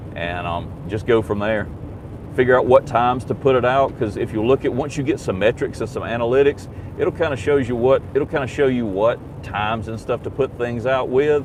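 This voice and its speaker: A man talks fairly quickly, his pitch varying in an ordinary way, while noticeable background noise continues. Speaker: YouTube livestreamer. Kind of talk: casual live stream chat. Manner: loud.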